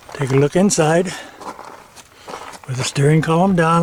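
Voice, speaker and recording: Speaking at a fairly high pitch, a man is heard over noticeable background noise. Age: 80s+. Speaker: retired auto mechanic. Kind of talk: DIY repair tutorial to camera.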